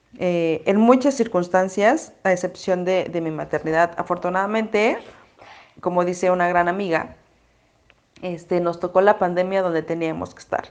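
The speaker has a Mexico City accent and talks at a moderate pace. The intonation stays fairly even. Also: woman. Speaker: mom influencer. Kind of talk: casual chat.

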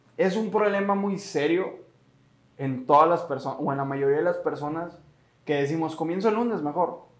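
A man talks in a fairly high pitch with an animated tone, ordinary pitch variation and a moderate pace. Audible room echo and noticeable background noise accompany him. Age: 20s. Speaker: podcast host. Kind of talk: motivational podcast talk.

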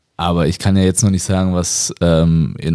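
On a very clean recording with a silent background, a man speaks in a very deep, low pitch. His tone is dark and mellow, with fairly even intonation. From Nuremberg, Middle Franconia. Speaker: professional basketball player. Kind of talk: casual interview.

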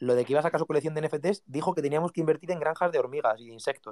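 The voice has a dark, mellow tone, ordinary pitch variation, and a Spanish accent. The sound is dry and close with no echo. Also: man. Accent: Peninsular Spanish. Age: 20s. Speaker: content creator and NFT collection founder. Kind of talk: casual interview chat.

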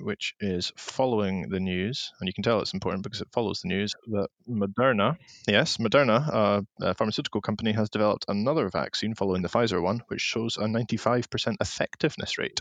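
With an ordinary speaking voice, a man at a fairly low pitch talks at a fairly quick pace with hardly any pauses and ordinary pitch variation, in a dry, close sound with no echo. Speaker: political journalist and co-host. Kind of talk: casual political chat. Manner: humorous, joking.

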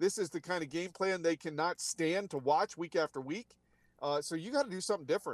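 Speaking at a high pitch and a fairly quick pace, a man comes through dry and close with no echo. The recording is very clean, with a silent background. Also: ordinary pitch variation. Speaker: TV sports anchor. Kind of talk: sports analysis.

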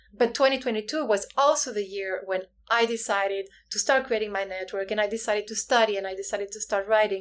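A woman with a Spanish accent talks very fast in a fairly high voice. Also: fairly even intonation. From Spain, Canary Islands. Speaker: author and inclusion consultant. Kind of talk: interview.

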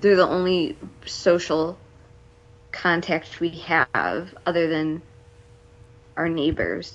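A woman with an American accent speaks very slowly at a fairly low pitch, with long, frequent pauses. Her intonation is flat and monotone. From US Midwest, Cleveland area. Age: 30s. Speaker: stay-at-home mother and military spouse. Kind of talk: casual interview. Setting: video call. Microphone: possible lag and quality issues.

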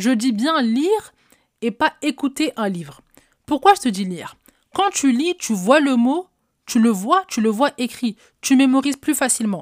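On a very clean recording with a silent background and a dry, close sound with no echo, a woman speaks in a high pitch at a fairly slow pace, with very wide pitch swings and long, frequent pauses. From French housing estate (cité). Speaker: podcast host, relationship coach. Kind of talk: solo advice podcast.

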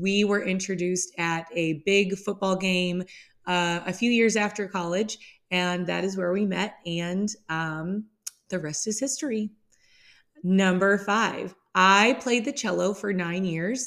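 Set against a very clean recording with a silent background, a woman with an American accent speaks at medium pitch and a fairly slow pace. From US Midwest. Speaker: podcast host and English language teacher. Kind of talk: scripted-style podcast monologue, casual intro.

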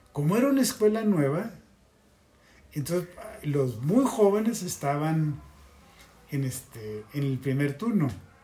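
Very wide pitch swings with long, frequent pauses amid noticeable background noise. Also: man, fairly high pitch for a man. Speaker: former student activist. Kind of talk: casual interview. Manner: halting.

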